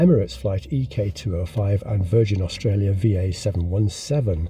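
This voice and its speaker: At a moderate pace, the voice sounds somewhat breathy with a dark, mellow tone. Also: man. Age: 60s. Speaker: video blogger. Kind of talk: casual monologue commentary. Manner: halting, many fillers.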